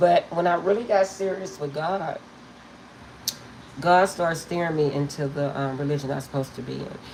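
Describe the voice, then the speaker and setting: With noticeable background noise behind her, a woman with a very deep, low pitch speaks at a moderate pace, using ordinary pitch variation and long, frequent pauses. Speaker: tarot reader. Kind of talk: live stream chat. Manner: casual, chatty.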